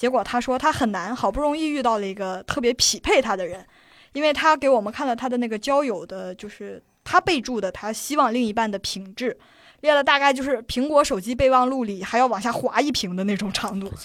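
A woman speaks at a fairly quick pace with lively intonation. Her pitch is high. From Shanxi, China. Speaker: laid-off internet company employee. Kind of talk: casual chat. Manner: frequent laughter.

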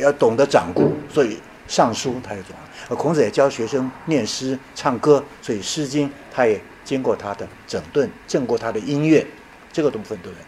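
Noticeable background noise sits behind a man's voice. He speaks at a medium pitch and moderate pace with lively intonation. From Taiwan, Yilan. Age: 70s. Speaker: retired professor. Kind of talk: lecture.

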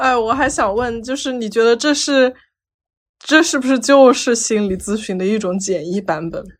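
A woman with a normal speaking voice talks at a moderate pace, her fairly high pitch carried by lively intonation. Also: very clean recording, silent background. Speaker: psychology researcher. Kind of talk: casual chat.

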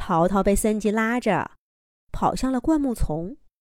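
Against a quiet background, a speaker does plain reading aloud, the intonation lively.

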